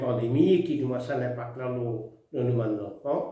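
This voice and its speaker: At a very slow pace, a man speaks at medium pitch with ordinary pitch variation, his tone dark and mellow and somewhat breathy. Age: 80s+. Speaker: retired politician. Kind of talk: address to the nation.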